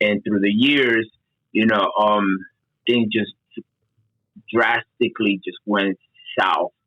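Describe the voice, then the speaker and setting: Very slowly and with long, frequent pauses, a man speaks with a Spanish accent. His pitch is fairly low, with ordinary variation. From Dominican Republic. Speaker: certified peer advocate. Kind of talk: podcast interview, personal testimony.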